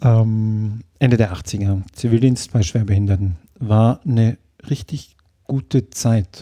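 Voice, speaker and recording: Very slow speech from a man at medium pitch in a dark, mellow tone, ordinary pitch variation, on a very clean recording with a silent background. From southern Germany, Lake Constance area (Ravensburg). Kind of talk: interview. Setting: kitchen at home.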